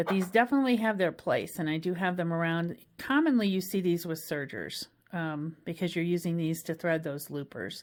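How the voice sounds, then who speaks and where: On a very clean recording with a silent background, a woman with a plain, everyday voice speaks at a moderate pace, her fairly low pitch showing ordinary pitch variation. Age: 60s. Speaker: sewing and craft video host. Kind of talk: tutorial. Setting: sewing room at a machine. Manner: casual, with many filler ums.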